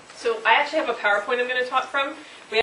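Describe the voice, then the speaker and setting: A woman at a fairly high pitch and very fast pace, ordinary pitch variation, audible room echo and noticeable background noise. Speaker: state mental health official, speaker. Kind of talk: public talk with slides. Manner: gets louder and more passionate as talk goes on.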